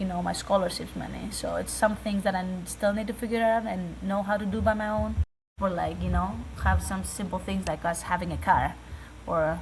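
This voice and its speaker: With a non-native accent, a woman talks at a fairly quick pace amid audible room echo. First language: not English. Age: 20s. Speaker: college basketball player. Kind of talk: interview. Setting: video call.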